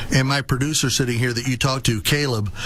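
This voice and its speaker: Someone talks at a very fast pace with fairly even intonation against noticeable background noise. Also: man. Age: 60s. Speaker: radio talk show host. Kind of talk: radio interview.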